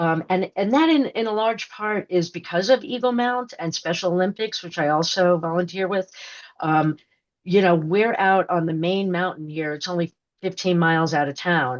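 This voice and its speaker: At a moderate pace, a woman with a fairly low pitch and an ordinary speaking voice talks with ordinary pitch variation. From New York. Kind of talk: podcast interview. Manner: rambling, many fillers and restarts.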